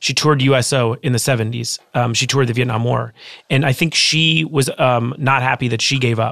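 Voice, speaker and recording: With an American accent, a man talks at a fairly quick pace in an ordinary speaking voice. His pitch is medium, his intonation fairly even and his loudness very even. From Los Angeles, California. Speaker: author and former rapper. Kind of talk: casual interview.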